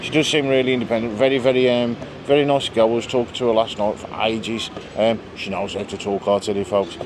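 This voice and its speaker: A man's medium-pitched voice at a very fast pace, with noticeable background noise. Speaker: travel vlogger. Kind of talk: casual vlog chat. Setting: bar in Majorca. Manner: animated.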